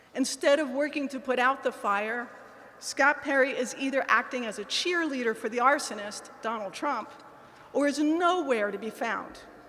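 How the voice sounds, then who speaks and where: Speaking at a moderate pace with an American accent, the voice shows ordinary pitch variation over noticeable background noise. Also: woman, high pitch for a woman. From Pennsylvania. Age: 60s. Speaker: political candidate. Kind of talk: campaign speech. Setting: in-person event with audience.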